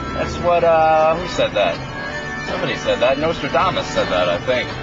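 A man talks at a moderate pace over clear music in the background, the sound dry with no echo. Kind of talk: casual vlog chat. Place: car. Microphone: phone near.

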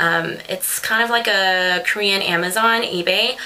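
This woman speaks with fairly even intonation. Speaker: beauty vlogger. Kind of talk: casual product review chat. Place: home room. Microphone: webcam.

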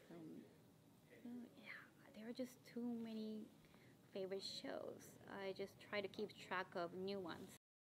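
A woman speaks at a fairly slow pace and medium pitch with ordinary pitch variation, leaving long, frequent pauses over noticeable background noise. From Tokyo, Japan. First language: Japanese. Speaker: cosplayer. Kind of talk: interview answer. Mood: friendly, smiling, relaxed. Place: meeting room.

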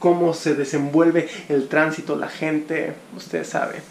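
A man with a Mexican accent speaks in a fairly high pitch at a fairly slow pace. There is audible room echo and light background noise. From Mexico. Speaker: travel vlogger. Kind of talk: casual travel vlog talk to camera. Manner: casual, humorous. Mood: relaxed, friendly wrap-up. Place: home room. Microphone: phone near.

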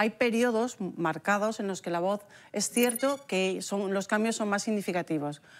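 A woman at a medium pitch, fairly slow pace and ordinary pitch variation. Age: 60s. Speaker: speech therapist; guest. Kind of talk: casual chat. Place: studio. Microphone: lapel.

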